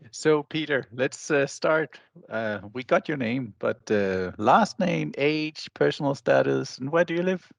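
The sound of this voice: With a medium pitch, ordinary pitch variation and some vocal fry, a man speaks at a fairly slow pace in a dry, close sound with no echo.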